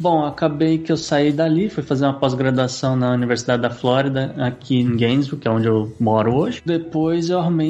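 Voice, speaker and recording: A man's fairly high-pitched voice at a moderate pace, with ordinary pitch variation over noticeable background noise. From Brazil, São Paulo. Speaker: beekeeper and farm entrepreneur. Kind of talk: casual interview chat.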